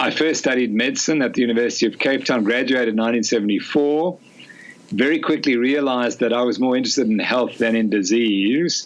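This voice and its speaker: Noticeable background noise surrounds a man talking at medium pitch with ordinary pitch variation. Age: 60s. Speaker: sports scientist and physician. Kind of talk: podcast interview.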